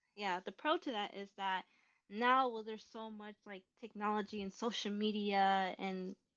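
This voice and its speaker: A plain, everyday voice from a woman with an American accent, medium in pitch, with fairly even intonation and big swings in loudness. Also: moderate pace. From US Midwest, Rockford, Illinois. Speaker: filmmaker. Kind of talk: casual interview chat. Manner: casual, filler-heavy.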